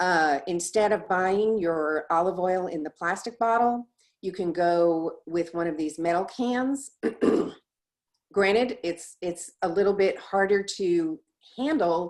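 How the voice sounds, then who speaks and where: A woman's plain, everyday voice at a medium pitch, fairly slow, with ordinary pitch variation and a quiet background. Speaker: presenter. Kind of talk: presentation.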